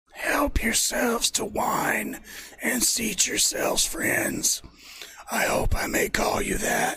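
A raspy put-on character voice with a fairly high pitch speaks at a fairly slow pace. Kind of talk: courteous, welcoming.

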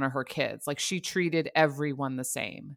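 A woman talks at a moderate pace with an American accent, her tone bright and sharp. Her intonation is fairly even, on a very clean recording with a silent background. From New Jersey, then North Carolina. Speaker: podcast host. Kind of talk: interview.

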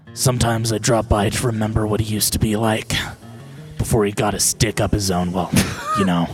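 Over clear background music, a man puts on a gravelly character voice, fairly low in pitch, and talks at a fairly quick pace. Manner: sly, sardonic.

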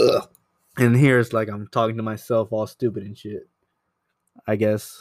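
A soft-spoken man at medium pitch and a moderate pace, monotone and flat in intonation, with big swings in loudness and long, frequent pauses. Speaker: podcast host, photographer. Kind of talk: casual solo monologue. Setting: home apartment. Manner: soft-spoken, mellow; halting, searching for words.

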